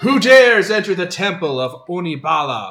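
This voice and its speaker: Loud and high-pitched, a man performs a put-on character voice at a moderate pace. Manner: commanding.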